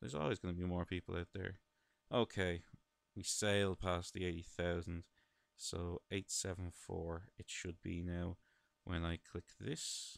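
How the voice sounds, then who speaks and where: The speaker has an Irish accent and talks at a fairly slow pace. The intonation is monotone and flat, and the sound is dry and close with no echo. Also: man, very deep, low pitch for a man. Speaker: gaming video commentator. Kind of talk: let's play commentary. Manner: casual, chatty.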